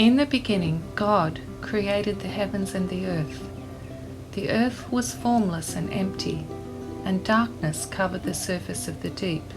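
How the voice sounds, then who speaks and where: A woman with an Australian accent at a fairly slow pace, lively in intonation, with music in the background. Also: medium pitch for a woman. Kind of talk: scripture reading.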